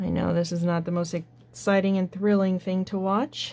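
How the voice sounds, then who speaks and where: A woman speaks at a medium pitch. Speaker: drafting teacher. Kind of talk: tutorial.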